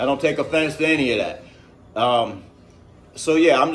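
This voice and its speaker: A man with an American accent speaks at a moderate pace with ordinary pitch variation. Music plays in the background, and room echo is audible. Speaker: vlogger. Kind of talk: casual vlog. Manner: straightforward, news-reader delivery.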